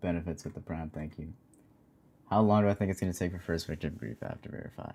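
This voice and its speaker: A man speaks at a very deep, low pitch. His tone is dark and mellow. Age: 20s. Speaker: gaming streamer. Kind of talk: live stream chat. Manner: monotone; casual.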